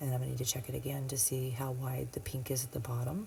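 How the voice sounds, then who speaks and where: Soft-spoken and somewhat breathy, a woman talks at a very fast pace with a very deep, low pitch. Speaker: nail technician. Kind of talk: tutorial. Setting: home at midnight.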